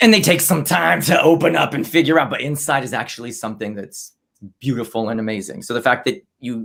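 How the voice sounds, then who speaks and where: A man speaks fairly quickly at a medium pitch, his tone animated. His intonation is lively. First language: not English. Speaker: comedy livestream host. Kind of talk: casual chat. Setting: livestream video call.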